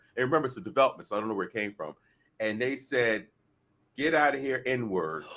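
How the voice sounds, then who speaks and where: The speaker's delivery is very fast yet broken by long, frequent pauses, with lively intonation, vocal fry and a bright, sharp, animated tone. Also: man, medium pitch for a man. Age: 50s. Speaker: podcast co-host. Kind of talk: casual chat.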